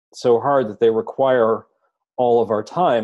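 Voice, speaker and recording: Slow-ish and medium in pitch, a man speaks with a dark, mellow tone at a fairly slow pace. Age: 50s. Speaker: meditation meetup host. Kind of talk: casual group discussion. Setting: group meetup, in person and recorded.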